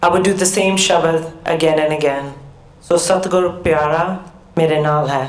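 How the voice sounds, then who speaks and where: A woman with an American accent and a fairly low pitch talks at a moderate pace with fairly even intonation. Noticeable background noise and audible room echo are present. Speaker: professor. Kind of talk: keynote speech.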